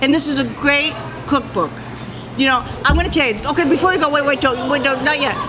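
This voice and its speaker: A woman with an American accent speaks in a raised, projected, high voice with an animated tone, a very fast pace and very even loudness, yet with long, frequent pauses. Music plays in the background, and audible room echo is present. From US Northeast, outside Boston, Massachusetts. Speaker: comedian. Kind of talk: casual interview. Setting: bar with audience.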